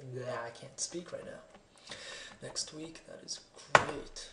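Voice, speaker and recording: The delivery moves at a moderate pace. Noticeable background noise is audible. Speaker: gamer. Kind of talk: video game let's play commentary. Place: home room.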